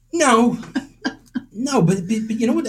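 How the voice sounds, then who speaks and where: A man with an American accent. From Boston area, Massachusetts (Winthrop). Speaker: amateur painter and photographer, insurance worker. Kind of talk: interview. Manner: halting.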